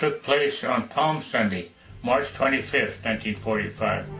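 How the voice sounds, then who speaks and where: With music in the background, a man in an American accent talks at a moderate pace and medium pitch, his intonation lively. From Denver, Colorado. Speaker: World War II veteran. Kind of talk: personal war memoir narration.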